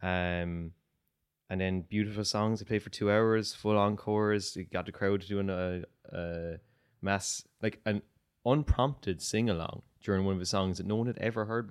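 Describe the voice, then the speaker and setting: A man with an Irish accent and fairly even intonation. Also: fairly low pitch for a man, moderate pace. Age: 30s. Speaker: musician. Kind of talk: casual chat.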